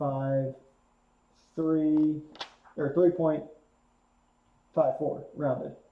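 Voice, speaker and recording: The intonation stays fairly even. Room echo is audible. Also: man. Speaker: math teacher. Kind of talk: lecture.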